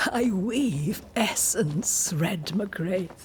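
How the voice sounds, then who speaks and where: A woman puts on a character voice at a medium pitch, with clear background noise behind her. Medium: video game. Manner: calm, cryptic, knowing.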